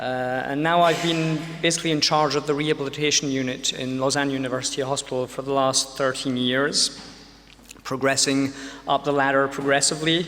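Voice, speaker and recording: Amid noticeable background noise and audible room echo, a man speaks with monotone, flat intonation. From UK. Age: 40s. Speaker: pediatrician and lecturer. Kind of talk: lecture. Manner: many filler sounds (um, uh).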